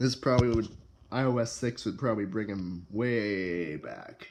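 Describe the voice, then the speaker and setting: A quiet man's voice, fairly low in pitch. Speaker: tech YouTuber. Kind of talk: casual tech review talk. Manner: hesitant, many filler words.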